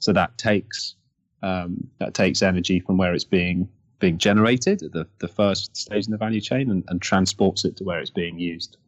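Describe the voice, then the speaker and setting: Very deep, low-pitched male voice with a southern English accent, fairly even intonation and moderate pace, dry and close with no echo, quiet background. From Kent, England. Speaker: energy company founder. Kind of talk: interview.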